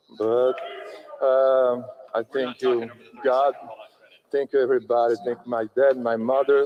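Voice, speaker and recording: With a non-native accent, a man at a medium pitch speaks in a monotone, flat intonation at a fairly slow pace, leaving long, frequent pauses. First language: not English. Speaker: bodybuilder. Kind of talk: victory speech. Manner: halting.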